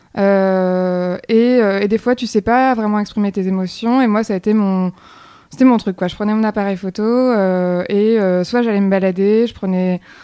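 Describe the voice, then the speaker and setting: At a fairly slow pace, a woman speaks in a dark, mellow tone with medium pitch and fairly even intonation. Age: 30s. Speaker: photographer. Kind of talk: casual chat.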